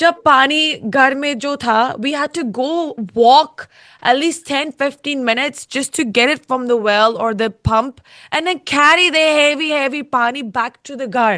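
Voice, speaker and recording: Against a quiet background, a woman speaks with a high pitch and a bright, sharp tone. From UK. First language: English (speaking Hindi). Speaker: singer, reality show contestant. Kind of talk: interview. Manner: slow, halting Hindi.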